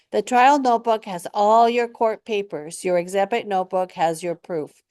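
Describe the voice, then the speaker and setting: A woman speaks at a moderate pace in a very clean recording, silent behind her, with a dry, close sound and no echo. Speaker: tenant rights educator. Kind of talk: scripted instructional video.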